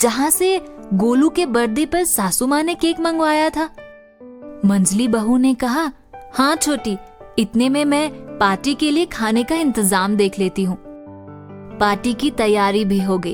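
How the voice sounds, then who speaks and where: A woman with a high pitch speaks with very wide pitch swings and long, frequent pauses. Music plays in the background. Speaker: radio jockey, story narrator. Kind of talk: radio story narration. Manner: lively, expressive storytelling.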